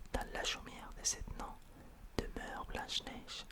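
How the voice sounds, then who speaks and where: A man whispers fairly slowly with noticeable background noise behind him. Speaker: ASMR creator. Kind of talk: whispered bedtime story reading. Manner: whispered.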